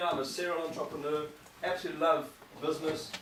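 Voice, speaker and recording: Very fast talk from a man, along with audible room echo and noticeable background noise. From South Africa. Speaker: business trainer and entrepreneur. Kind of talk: seminar presentation. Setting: live event with audience.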